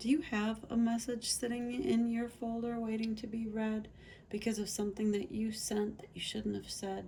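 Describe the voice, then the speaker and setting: A soft-spoken, somewhat breathy woman's voice, fairly high in pitch with a dark, mellow tone, monotone and flat in intonation, at a moderate pace. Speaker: tarot reader. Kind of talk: tarot reading. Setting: parked near train tracks.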